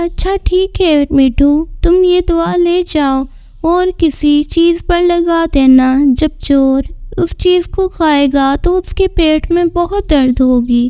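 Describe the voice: Using a cartoonish character voice at an extremely high pitch, a woman speaks at a fairly slow pace.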